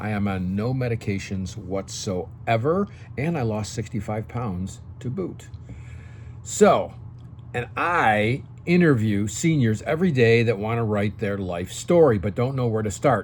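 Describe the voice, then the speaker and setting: This man talks at a fairly slow pace, his medium-pitched voice somewhat breathy and his intonation lively. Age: 60s. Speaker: senior lifestyle YouTuber and entrepreneur. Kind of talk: talking-head tutorial. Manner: casual, frequent okay fillers.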